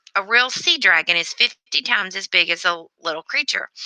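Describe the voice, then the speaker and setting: A woman's put-on character voice, raspy and wheezy, at medium pitch and a moderate pace with lively intonation, recorded dry and close with no echo. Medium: read story. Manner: rambling, grandly philosophical.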